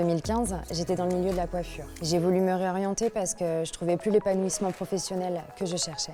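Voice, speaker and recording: Speaking at a fairly quick pace, a woman has a fairly low pitch and a dark, mellow tone. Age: 20s. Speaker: warehouse team leader. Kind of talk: scripted testimonial.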